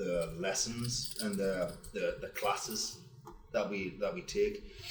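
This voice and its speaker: A man speaks in an English accent. Music plays in the background, and room echo is audible. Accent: smooth English. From northern England, Wallsend, Newcastle. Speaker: painting company owner. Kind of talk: live podcast discussion. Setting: podcast suite at expo.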